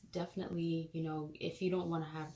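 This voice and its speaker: The speaker is soft-spoken, moving at a fairly quick pace with fairly even intonation. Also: woman. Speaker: parenting vlogger. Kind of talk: product review vlog. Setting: home nursery. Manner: casual, filler words.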